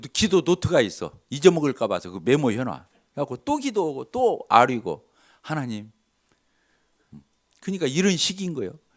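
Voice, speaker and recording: On a very clean recording with a silent background, a man with a fairly high pitch sounds animated, his voice swinging very widely in pitch and showing vocal fry. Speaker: lay preacher giving testimony. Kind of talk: sermon with personal testimony. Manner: animated, conversational.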